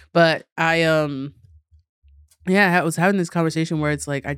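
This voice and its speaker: In a New York accent, a woman with a very deep, low pitch speaks on a very clean recording with a silent background. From New York City, Queens. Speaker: comedian. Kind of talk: casual chat. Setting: studio. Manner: animated.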